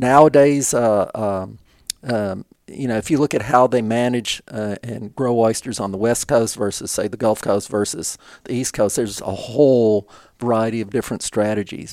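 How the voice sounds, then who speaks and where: A man with an American accent speaks at a moderate pace, medium in pitch, with fairly even intonation. The recording is very clean, with a silent background. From Texas. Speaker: marine research scientist. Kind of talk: podcast interview. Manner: halting, many fillers.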